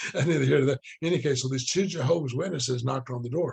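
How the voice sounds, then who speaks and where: Delivered at a very fast pace, the somewhat breathy voice has ordinary pitch variation. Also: man. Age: 60s. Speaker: book study teacher, network marketer. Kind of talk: casual lecture. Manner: repetitive, restarting phrases.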